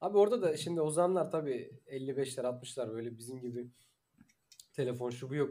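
A man talks at a fairly quick pace in a dark, mellow tone. His pitch is fairly high for a man, with lively intonation. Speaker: podcast host. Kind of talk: casual chat.

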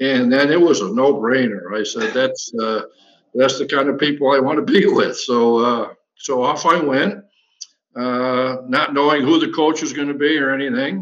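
This man talks at a moderate pace in an ordinary speaking voice, with a fairly high pitch and ordinary pitch variation. He has an American accent. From Western New York, Batavia. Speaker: former college basketball player. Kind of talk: casual interview.

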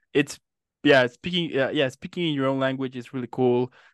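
Over a quiet background, a man talks at a moderate pace and medium pitch with ordinary pitch variation, the sound dry and close without echo. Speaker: interviewer. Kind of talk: casual interview. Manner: animated.

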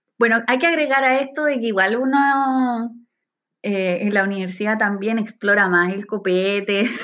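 A woman with a Chilean accent, fairly high in pitch, with ordinary pitch variation. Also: moderate pace. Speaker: podcast co-host. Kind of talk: casual chat.

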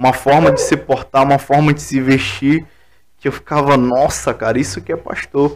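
A man's ordinary speaking voice, fairly high in pitch, at a fairly slow pace. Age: 20s. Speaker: pastor. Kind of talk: casual chat.

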